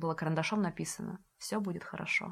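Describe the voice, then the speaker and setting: The speaker moves at a fairly quick pace, with vocal fry and ordinary pitch variation. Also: woman. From Russia, Saint Petersburg. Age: 20s. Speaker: education entrepreneur. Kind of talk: casual interview chat. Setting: studio. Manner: animated.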